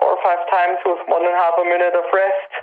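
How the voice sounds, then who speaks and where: A man with a high pitch at a fairly slow pace. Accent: German. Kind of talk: casual interview.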